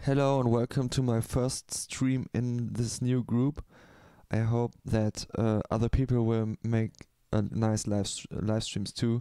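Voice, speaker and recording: In a German accent, a man speaks fairly slowly at a medium pitch, monotone and flat, the sound dry and close with no echo. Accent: German accent, self-described bad English. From Germany. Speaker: beat maker, live streamer. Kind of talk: casual live stream talk. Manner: halting, many fillers.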